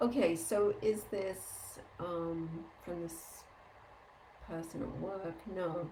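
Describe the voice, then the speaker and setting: A woman's fairly low, very slow voice with ordinary pitch variation and long, frequent pauses, amid audible room echo and noticeable background noise. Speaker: energy healing teacher. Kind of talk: live group Q&A session.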